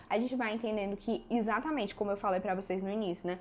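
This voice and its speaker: This woman's voice sits at a medium pitch, with ordinary pitch variation. Her tone is animated. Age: 20s. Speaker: podcast host, actress and writer. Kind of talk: solo podcast monologue.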